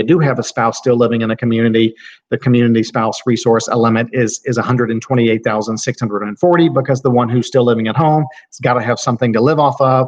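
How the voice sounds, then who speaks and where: A man with a medium-pitched voice speaks at a very fast pace. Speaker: estate planning lawyer. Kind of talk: lecture.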